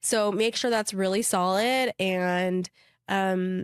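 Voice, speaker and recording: A woman's medium-pitched voice in a Utah accent, with fairly even intonation, dry and close with no echo, on a very clean recording with a silent background. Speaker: wedding planner. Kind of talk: casual chat.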